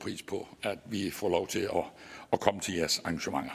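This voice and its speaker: In a very clean recording with a silent background, a man speaks at a fairly low pitch. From Southern Jutland, Denmark (Vojens). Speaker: Danish parliament committee chair. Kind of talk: formal conference speech.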